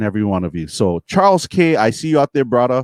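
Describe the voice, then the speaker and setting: A man speaks in a Hawaiian accent at a medium pitch, in an animated tone and at a fairly quick pace. The recording is very clean, with a silent background and a dry, close sound with no echo. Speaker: streamer and DJ talk show host. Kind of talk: live stream talk show. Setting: live stream.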